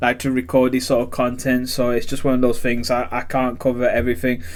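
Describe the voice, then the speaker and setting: At a fairly quick pace, a man with a Yorkshire accent speaks at a medium pitch. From northern England, Sheffield. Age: 30s. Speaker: YouTuber, card collector. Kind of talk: casual vlog talk. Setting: spare bedroom at home. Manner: hesitant, many fillers.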